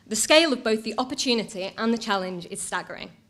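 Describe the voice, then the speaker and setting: A woman with a Mancunian accent talks at a very fast pace in a fairly high voice. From Manchester, northern England. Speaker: council digital strategy officer. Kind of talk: conference talk. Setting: stage with audience.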